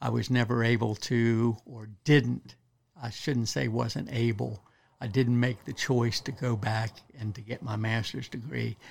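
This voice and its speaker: Big swings in loudness, a fairly slow pace, a somewhat breathy quality and fairly even intonation. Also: man, medium pitch for a man. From Western Maryland, US. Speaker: wildlife biologist. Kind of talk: casual interview. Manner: halting.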